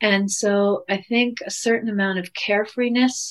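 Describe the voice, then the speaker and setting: A woman has an ordinary speaking voice at a medium pitch. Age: 50s. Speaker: physician and couples coach. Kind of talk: interview.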